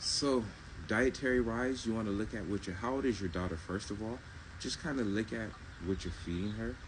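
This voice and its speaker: Soft-spoken and somewhat breathy, a man talks at a fairly quick pace with ordinary pitch variation and audible room echo. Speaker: herbal health seller. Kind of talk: live stream Q&A.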